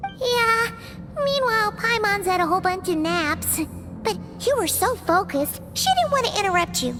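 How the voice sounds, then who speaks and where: A put-on character voice, female-sounding and extremely high, over clear background music. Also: moderate pace. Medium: fan dub. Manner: chirpy, talks about herself in the third person.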